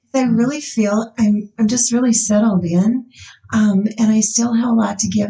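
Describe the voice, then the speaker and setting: A woman with a dark, mellow tone sounds somewhat breathy, keeping fairly even intonation at a moderate pace. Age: 60s. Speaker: nurse practitioner. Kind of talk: casual chat.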